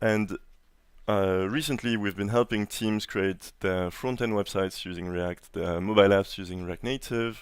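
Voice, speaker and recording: A man with a strong French accent speaks at a moderate pace and a fairly low pitch. His intonation stays fairly even, and the recording is very clean against a silent background. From France. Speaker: conference speaker, software engineer. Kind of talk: conference talk. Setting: stage with audience. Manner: hesitant, many fillers.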